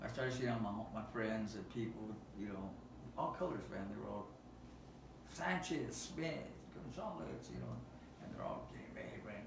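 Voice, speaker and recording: Audible room echo and noticeable background noise surround a man's voice. He speaks at a moderate pace with long, frequent pauses. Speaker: nonprofit youth outreach worker. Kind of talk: casual chat. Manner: halting. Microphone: no microphones, camera audio.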